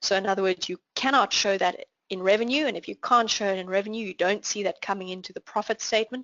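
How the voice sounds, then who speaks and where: A woman speaks at a medium pitch with ordinary pitch variation and a South African accent. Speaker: finance trainer. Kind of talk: online class Q&A.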